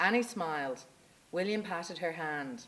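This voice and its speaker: A woman speaks at a moderate pace. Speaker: story reader at a live storytelling event. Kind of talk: storytelling reading of a written short story.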